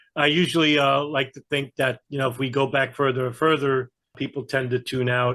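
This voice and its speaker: A man with a New York accent speaks at a fairly quick pace, his pitch medium and its variation ordinary. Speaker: geopolitical analyst. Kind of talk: interview conversation.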